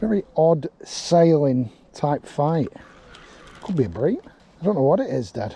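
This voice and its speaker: With an English accent, a man speaks at a fairly slow pace, leaving long, frequent pauses. His pitch is fairly high and his intonation lively. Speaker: angling vlogger. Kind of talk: casual vlog commentary.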